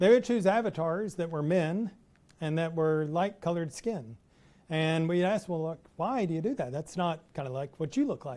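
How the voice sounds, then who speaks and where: A dark, mellow tone with ordinary pitch variation, in a Texas accent. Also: man. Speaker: professor. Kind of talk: lecture.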